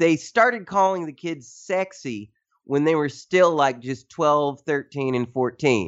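Speaking at a fairly slow pace, a man with a Tennessee accent uses lively intonation. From Tennessee, US South. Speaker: journalist and author. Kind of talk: interview conversation.

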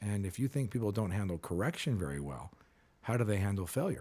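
Fairly low in pitch, a man talks at a very fast pace in a dark, mellow, somewhat breathy tone, with very wide pitch swings. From California. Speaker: periodontist and speaker. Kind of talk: casual interview.

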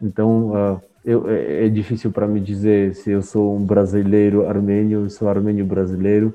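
With music in the background, a man with an Armenian accent talks at a fairly low pitch in a monotone, flat delivery at a moderate pace with hardly any pauses. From Armenia (Soviet Union). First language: Armenian (speaking Portuguese). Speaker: author. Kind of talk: interview.

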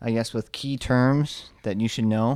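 A man with an American accent talks at a medium pitch with fairly even intonation on a very clean recording with a silent background. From Omaha, Nebraska, US. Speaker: traveler. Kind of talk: casual chat.

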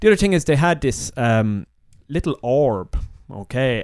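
In an Irish accent, a man talks at a fairly slow pace with lively intonation, captured in a very clean recording with a silent background. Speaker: podcast co-host. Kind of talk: casual chat.

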